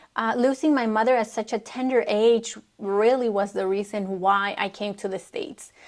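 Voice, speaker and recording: Speaking at a moderate pace with hardly any pauses, a woman with a Spanish accent talks in a fairly high voice. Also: fairly even intonation. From Mexico. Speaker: vlogger. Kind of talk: personal testimony.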